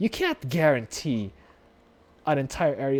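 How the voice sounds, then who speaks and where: On a very clean recording with a silent background, a man speaks at a moderate pace in a dark, mellow tone with very wide pitch swings. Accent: non-native. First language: not English. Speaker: gaming YouTuber. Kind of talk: casual commentary reading wiki aloud. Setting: voice call with guest.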